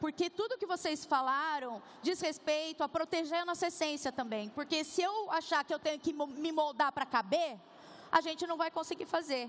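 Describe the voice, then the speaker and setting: A woman with a rural Brazilian accent speaks at a moderate pace with an extremely high pitch and ordinary pitch variation. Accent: Brazilian interior. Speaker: panel moderator. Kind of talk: panel discussion on stage. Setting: stage with audience.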